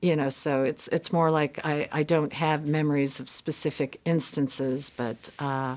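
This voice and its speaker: Over a very clean recording with a silent background, a woman with a very deep, low pitch speaks at a fairly slow pace with hardly any pauses and monotone, flat intonation. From United States, moved often. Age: 50s. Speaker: Korean adoptee. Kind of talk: interview testimony. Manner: hesitant, many fillers.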